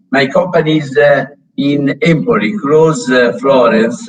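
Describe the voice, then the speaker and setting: A man speaks with a Tuscan accent. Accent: Tuscan Italian accent in English. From Tuscany, Italy. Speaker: company founder and sponsor. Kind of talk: conference welcome address. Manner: halting, many fillers.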